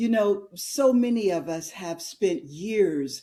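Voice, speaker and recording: A woman's medium-pitched, dark, mellow voice, very slow with lively intonation, on a very clean recording with a silent background. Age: 60s. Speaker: entrepreneur, women's community founder. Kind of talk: casual interview chat.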